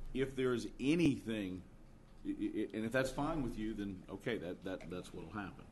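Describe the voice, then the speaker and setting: A man speaks at a moderate pace with lively intonation and medium pitch. He has an ordinary speaking voice. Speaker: council member. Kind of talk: council deliberation. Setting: council chamber.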